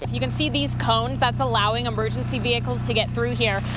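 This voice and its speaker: A woman's voice amid noticeable background noise. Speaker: television news reporter. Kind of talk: broadcast news reporting. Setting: outdoors, live field reporting at scenes.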